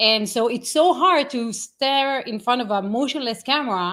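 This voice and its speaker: A woman's high-pitched voice swings very widely in pitch, in a very clean recording with a silent background. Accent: Israeli. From Israel. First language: Hebrew. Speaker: AI marketing consultant. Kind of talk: interview. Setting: live stream.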